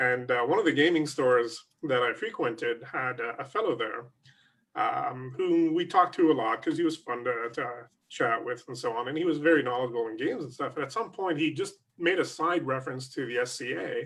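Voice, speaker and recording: A man speaks at a fairly quick pace in a fairly high pitch. His pitch varies in an ordinary way. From Canada, Montreal, Quebec. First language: French. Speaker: SCA prince. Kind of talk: interview. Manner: hesitant, many fillers.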